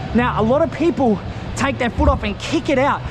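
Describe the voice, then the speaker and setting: Energetic in tone, the speaker moves at a fairly quick pace against noticeable background noise. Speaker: scooter riding instructor. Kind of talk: tutorial. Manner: loud; energetic, casual.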